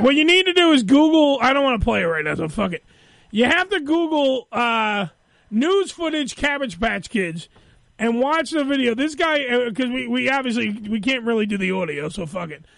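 Extremely high in pitch, this man's voice makes very wide pitch swings. He speaks at a moderate pace. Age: 40s. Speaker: radio show host. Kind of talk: casual chat. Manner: animated.

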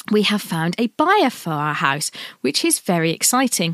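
Delivered at a fairly slow pace with an English accent, the speech has a dry, close sound with no echo and comes from a very clean recording with a silent background. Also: woman. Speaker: podcast host, sewing pattern designer. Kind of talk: casual monologue.

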